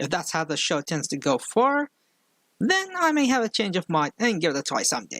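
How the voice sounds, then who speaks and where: At a moderate pace, a man speaks high-pitched with very wide pitch swings, the sound dry and close with no echo. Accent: strong non-native. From outside the US. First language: not English. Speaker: film critic youtuber. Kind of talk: online video commentary. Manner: slurred.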